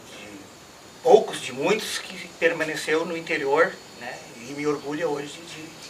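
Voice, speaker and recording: This man's voice sits fairly high in pitch and moves at a moderate pace. Noticeable background noise and audible room echo fill the recording. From Brazil, rural Rio Grande do Sul. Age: 60s. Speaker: farmer. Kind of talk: oral history interview.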